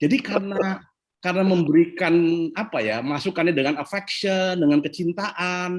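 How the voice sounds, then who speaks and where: Speaking at a fairly quick pace, a man sounds animated. His pitch sits fairly high. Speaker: leadership speaker. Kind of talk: Q&A talk on leadership. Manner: animated, conversational.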